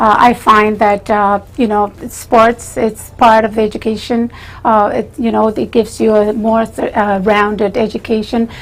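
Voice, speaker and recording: Over noticeable background noise, a woman speaks at a fairly high pitch in a monotone, flat intonation with hardly any pauses. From Chile. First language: Spanish. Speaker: retired teacher and school trustee candidate. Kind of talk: interview. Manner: slow; formal.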